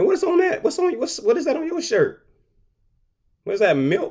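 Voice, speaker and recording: In an animated tone, a man speaks at an extremely high pitch with very wide pitch swings. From US Midwest, Detroit, Michigan. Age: 30s. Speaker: artist and shirt designer. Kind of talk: casual promotional rant to camera. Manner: animated, street slang; stammering repetitions.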